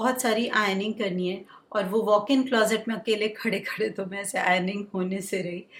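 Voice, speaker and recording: Over noticeable background noise, a woman with a medium pitch and fairly even intonation talks at a moderate pace with hardly any pauses. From India, Bihar (Bengali family). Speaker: homemaker vlogger, mother. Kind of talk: casual vlog talk.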